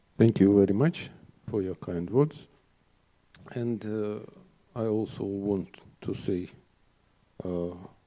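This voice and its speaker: A man with a Russian accent talks at a very slow pace, taking long, frequent pauses. His pitch is fairly low with ordinary variation, and his tone is dark and mellow. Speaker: conference organizer. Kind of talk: formal opening speech. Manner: halting, many filler sounds.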